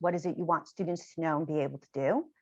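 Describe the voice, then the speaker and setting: Against a quiet background, a woman talks with a New York accent. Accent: heavy New York. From New York, Long Island. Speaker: education author and trainer. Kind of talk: lecture.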